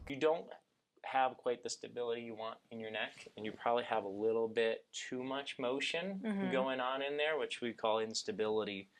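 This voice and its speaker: A man with an unremarkable speaking voice keeps a moderate pace, his medium pitch showing ordinary variation. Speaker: chiropractor. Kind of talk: clinical examination talk, instructing patient.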